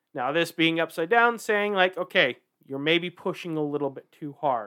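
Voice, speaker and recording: Moderate pace and ordinary pitch variation from a man in a normal speaking voice. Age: 40s. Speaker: podcast co-host. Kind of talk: casual chat.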